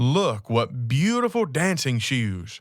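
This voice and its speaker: In a put-on character voice of medium pitch, a man speaks at a fairly slow pace with very wide pitch swings, on a very clean recording with a silent background. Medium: read story.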